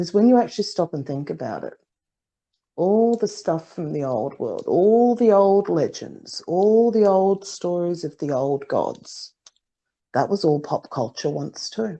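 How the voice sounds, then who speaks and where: In an Australian accent, a woman with a medium pitch and a dark, mellow tone speaks at a fairly slow pace with lively intonation. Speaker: psychic, podcast co-host. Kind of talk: casual chat.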